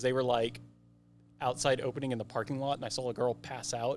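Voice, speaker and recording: With an American accent, a man talks at a fairly quick pace in a medium pitch, an unremarkable speaking voice. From rural Oklahoma. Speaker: escape room game designer. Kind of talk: casual chat.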